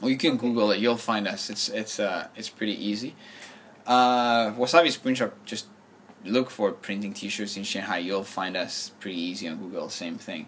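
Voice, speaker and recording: This is a man with a French accent. His pitch is fairly low. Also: ordinary pitch variation, moderate pace. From France. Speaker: shop owner and entrepreneur. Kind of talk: interview.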